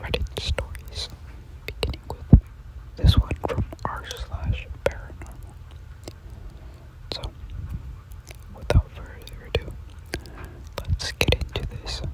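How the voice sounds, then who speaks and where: A whisper moves at a fairly slow pace with long, frequent pauses, and noticeable background noise sits underneath. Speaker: ASMR creator. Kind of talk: scary story reading. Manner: whispered.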